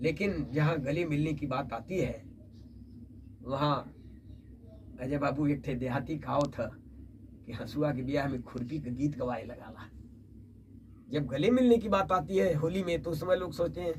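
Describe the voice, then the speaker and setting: A man with a fairly high voice and ordinary pitch variation sounds somewhat breathy, leaving long, frequent pauses. There is audible room echo. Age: 70s. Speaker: poet. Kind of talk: interview.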